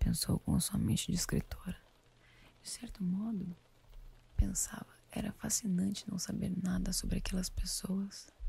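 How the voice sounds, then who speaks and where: The woman whispers in a soft-spoken way at a fairly slow speed. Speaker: ASMR creator. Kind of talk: audiobook-style book reading for sleep. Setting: studio with binaural microphone, rain in background. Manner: soft-spoken, whispered.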